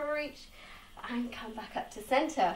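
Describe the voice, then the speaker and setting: Moderate-paced speech from a woman amid audible room echo. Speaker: fitness instructor. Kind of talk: guided home workout class with cueing and countdowns. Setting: home conservatory with rain noise, video workout. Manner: encouraging, upbeat, steady instructional cueing. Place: home room. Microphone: camera far.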